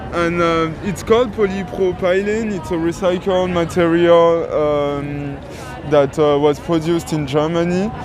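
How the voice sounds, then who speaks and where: With music in the background, a man with a strong French accent speaks at a high pitch, at a fairly slow pace with fairly even intonation. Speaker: on-site guide explaining the monument. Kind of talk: informal explanation to camera. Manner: hesitant, many fillers.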